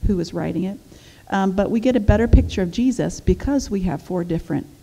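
With ordinary pitch variation, a woman talks at a fairly quick clip. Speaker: women's ministry teacher. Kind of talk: bible teaching lecture. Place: church. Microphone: headset.

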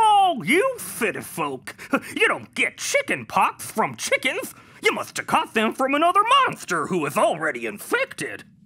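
The voice is a cartoonish character one. Its pace is moderate. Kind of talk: kids' cartoon acting. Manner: folksy, matter-of-fact.

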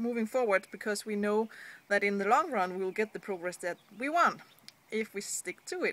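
In a Danish accent, a woman speaks at a fairly high pitch in a bright, sharp tone with ordinary pitch variation. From Denmark. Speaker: online business blogger. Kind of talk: vlog. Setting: seated indoors at home. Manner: hesitant, frequent fillers. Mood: earnest, encouraging. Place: street. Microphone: phone near.

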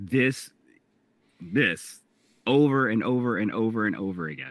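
A man's medium-pitched voice at a fairly slow pace with ordinary pitch variation. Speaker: podcast co-host. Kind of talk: casual chat.

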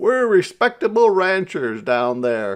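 In a put-on character voice, a man talks slowly at a high pitch. His tone is clear and smooth, with big pitch swings.

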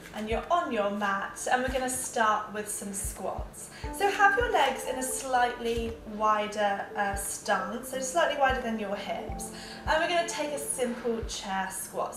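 Clear music plays in the background as a woman speaks at a fairly slow pace, with audible room echo. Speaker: fitness instructor. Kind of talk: workout tutorial. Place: home room. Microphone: camera far.

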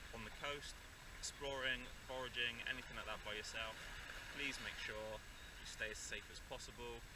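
Amid loud background noise, a man talks at a moderate pace in a dry sound with no echo. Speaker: nature vlogger. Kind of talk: educational outdoor vlog talk. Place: beach. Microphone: camera far.

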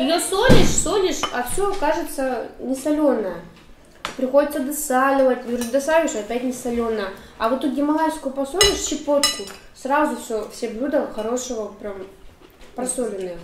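Loud background noise surrounds the recording. A woman speaks with long, frequent pauses. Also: moderate pace. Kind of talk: casual table conversation. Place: home room. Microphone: camera far.

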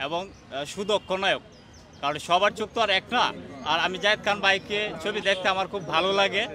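A man speaks in a raised, projected voice at a high pitch with fairly even intonation, with a dry sound with no echo and light background noise. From Bangladesh, Kishoreganj; Bangladesh. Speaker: fan at a court rally. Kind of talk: street interview. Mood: earnest, defensive of idol. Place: street. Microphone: handheld.

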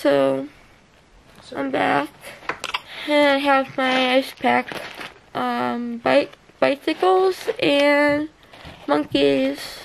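Long, frequent pauses break up the very slow speech. Light background noise is present. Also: woman. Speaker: vlogger. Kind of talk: casual vlog chat. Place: home room. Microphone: phone near.

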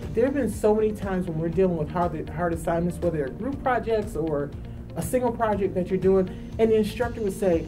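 Over clear music in the background, a woman talks at a fairly quick pace. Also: ordinary pitch variation. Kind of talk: interview answer. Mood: enthusiastic, warm. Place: studio. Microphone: lapel.

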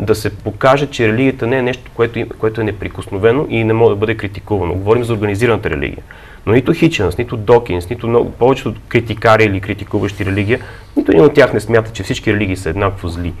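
Over noticeable background noise, a man rattles off words at a very fast pace in a fairly low voice with ordinary pitch variation. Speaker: book publisher. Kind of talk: studio discussion. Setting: studio.

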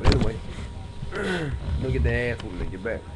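At a moderate pace, a man talks at medium pitch with music in the background. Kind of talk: casual talk to camera. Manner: rambling, slangy, conversational.

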